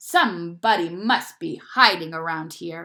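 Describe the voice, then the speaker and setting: A woman growls out a put-on character voice at a fairly slow pace. The recording is very clean, with a silent background. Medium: read story.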